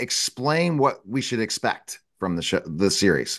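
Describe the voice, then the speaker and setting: Over a quiet background, a man's voice has a dry, close sound with no echo. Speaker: talk show host. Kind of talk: interview.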